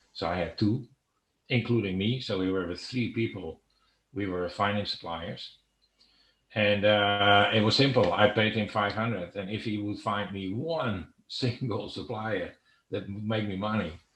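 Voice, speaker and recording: A man speaks at a moderate pace with a fairly low pitch and ordinary pitch variation. The background is quiet. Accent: Dutch. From Netherlands. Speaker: online seller. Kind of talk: interview. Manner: halting, many fillers.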